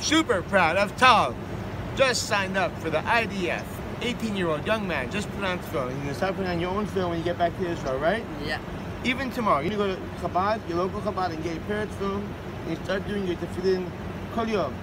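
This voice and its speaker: Over loud background noise, a man speaks at a very fast pace with ordinary pitch variation. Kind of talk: casual blessing and encouragement. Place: street. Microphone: phone near.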